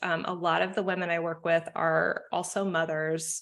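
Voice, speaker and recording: A woman with a normal speaking voice, fairly low in pitch, at a moderate pace against a quiet background. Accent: American. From United States. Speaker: marketing consultant. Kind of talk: podcast interview.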